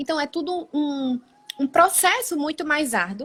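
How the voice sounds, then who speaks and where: With a Pernambuco accent, a woman speaks at a moderate pace using lively intonation. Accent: Pernambuco (Brazilian Northeast). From Brazil, Pernambuco interior (Caruaru). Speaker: occupational physiotherapist, ergonomics practitioner. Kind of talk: live stream interview. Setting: online live stream.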